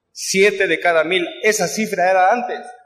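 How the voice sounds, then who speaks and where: This man has a high-pitched voice. He talks at a fairly slow pace. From Mexico City. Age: 80s+. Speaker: recovering alcoholic speaker at AA event. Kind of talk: testimony. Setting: stage with audience. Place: hall. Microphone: podium.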